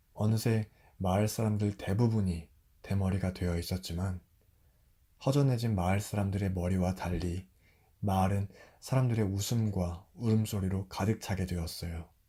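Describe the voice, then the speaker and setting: The voice is somewhat breathy with a dark, mellow tone. It moves at a moderate pace. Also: man, fairly low pitch for a man. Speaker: storyteller. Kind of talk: fairy tale narration. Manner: soft-spoken.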